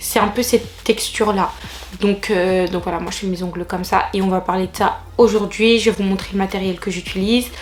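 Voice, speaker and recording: Noticeable background noise sits behind a woman's voice. She speaks at a medium pitch with monotone, flat intonation. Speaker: beauty vlogger. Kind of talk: casual vlog tutorial.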